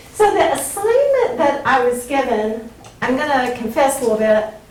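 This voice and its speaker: A woman with a Southern US accent at a fairly slow pace, with audible room echo and noticeable background noise. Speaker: Bible professor. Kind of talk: lecture.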